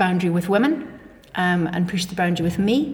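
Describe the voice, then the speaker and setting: A woman talks fairly quickly at medium pitch, her pitch varying in an ordinary way, as noticeable background noise is heard. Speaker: teaching assistant. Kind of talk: casual chat.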